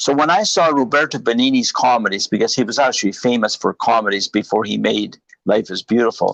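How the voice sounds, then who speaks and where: A man at medium pitch speaks at a fairly quick pace with ordinary pitch variation, in a dry, close sound with no echo. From Canada, born in Italy. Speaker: filmmaker. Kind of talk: interview storytelling. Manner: animated.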